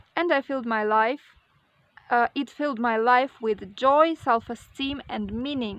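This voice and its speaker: Against a quiet background, a woman speaks at a fairly slow pace. Her high voice shows ordinary pitch variation. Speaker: vlogger. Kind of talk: personal vlog monologue. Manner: hesitant, many fillers.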